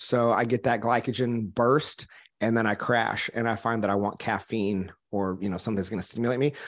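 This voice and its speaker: A man with an American accent speaks in an unremarkable speaking voice at medium pitch and moderate pace, with fairly even intonation, against a quiet background. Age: 30s. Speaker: entrepreneur and business coach, former minister. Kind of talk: casual chat.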